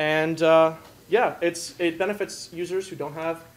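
A man's fairly high voice over light background noise. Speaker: student hackathon participant; presenter. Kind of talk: demo presentation. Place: hall. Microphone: camera far.

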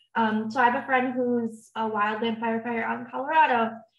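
Speaking at a moderate pace, a woman with a fairly high pitch delivers her words in a flat, monotone way, her voice somewhat breathy. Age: 20s. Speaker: communications intern. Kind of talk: panel discussion. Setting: online video call.

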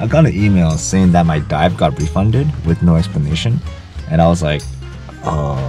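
A man speaks at a fairly quick pace in a very deep, low voice. The sound is dry with no echo, and clear music plays in the background. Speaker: travel vlogger. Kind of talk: casual vlog chat. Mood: disappointed, wry. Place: car. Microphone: phone near.

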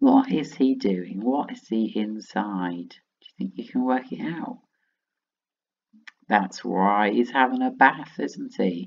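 With a northern English accent, the speaker talks at a very slow pace. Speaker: primary school teacher. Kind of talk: phonics lesson for young children.

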